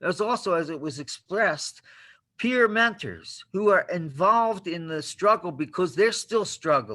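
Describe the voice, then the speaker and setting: In a very clean recording with a silent background, a man with a high, bright, sharp voice projects it loudly at a fairly slow pace with lively intonation. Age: 70s. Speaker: homeless advocate. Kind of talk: public meeting speech.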